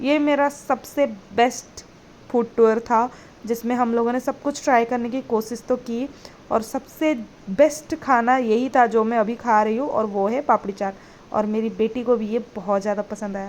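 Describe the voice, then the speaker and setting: With a non-native accent, a woman speaks at a fairly high pitch using fairly even intonation. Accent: non-native Hindi, self-described poor Hindi. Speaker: food and family vlogger, working mother. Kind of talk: vlog voiceover narration. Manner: hesitant, many fillers.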